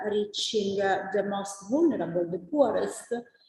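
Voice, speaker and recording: The voice moves at a moderate pace, and audible room echo surrounds it. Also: woman. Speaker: nutrition researcher. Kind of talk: conference talk. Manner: halting, many filler sounds.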